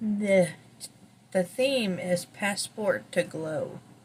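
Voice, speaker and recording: Soft-spoken and very slow, a woman talks at a medium pitch with ordinary pitch variation against noticeable background noise. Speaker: beauty vlogger. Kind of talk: product unboxing review. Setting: at home early morning.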